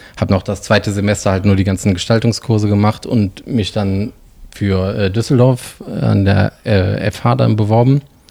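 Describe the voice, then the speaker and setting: A man's fairly low voice with ordinary pitch variation, a moderate pace and noticeable background noise. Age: 40s. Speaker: illustrator and designer. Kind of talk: casual interview.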